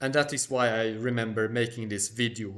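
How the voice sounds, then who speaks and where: A man speaks with a Swedish accent in a monotone, flat intonation. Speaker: history and culture YouTuber. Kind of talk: Q&A monologue.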